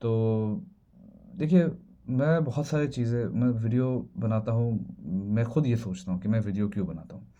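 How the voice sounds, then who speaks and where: Speaking with a non-native accent, this man has a dark, mellow tone. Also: medium pitch for a man, lively intonation. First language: not Hindi (speaking Hindi). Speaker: video creator. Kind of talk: casual monologue vlog. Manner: halting, many fillers and restarts.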